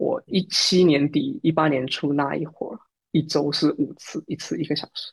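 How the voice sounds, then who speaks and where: A man in a southern Chinese accent, fairly high-pitched, with ordinary pitch variation. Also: moderate pace, dry, close sound with no echo. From Fujian, southern China. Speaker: Android developer and podcaster. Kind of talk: casual interview chat.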